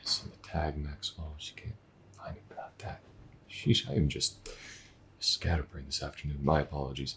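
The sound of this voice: Putting on a character voice, a man speaks at a moderate pace with an extremely low pitch, vocal fry, a fairly bright tone and fairly even intonation.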